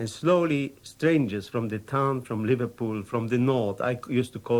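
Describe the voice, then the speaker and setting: At a moderate pace, a man with a Polish accent speaks at a medium pitch with ordinary pitch variation. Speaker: war veteran. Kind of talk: unscripted personal anecdote.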